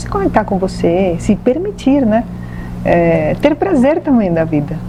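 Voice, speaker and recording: A woman in a Venezuelan accent at a moderate pace, with noticeable background noise. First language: Spanish (speaking Portuguese). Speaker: medium and holistic therapist. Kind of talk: TV talk show interview.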